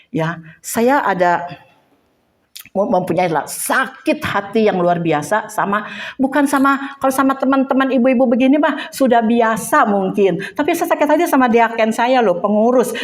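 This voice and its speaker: Her pitch sits fairly high for a woman and swings very widely as she talks at a moderate pace, with room echo clearly audible. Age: 60s. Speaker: Bible teacher. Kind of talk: personal testimony; Bible study teaching. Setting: women's church group.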